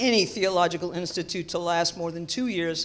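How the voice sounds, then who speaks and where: A woman with a New York accent and a medium pitch talks at a fairly quick pace in a very clean recording with a silent background. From New York City, the Bronx. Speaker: theology professor. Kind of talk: keynote lecture.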